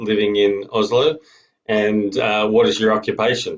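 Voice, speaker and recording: A man of medium pitch talks at a moderate pace in an Australian accent. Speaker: show host. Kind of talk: interview. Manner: animated.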